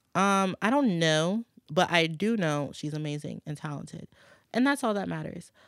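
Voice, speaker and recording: Recorded very clean with a silent background and a dry, close sound with no echo, a plain, everyday voice with an American accent moves at a moderate pace with ordinary pitch variation. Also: woman. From New Orleans, then Michigan and Virginia. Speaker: recording artist. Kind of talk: casual chat.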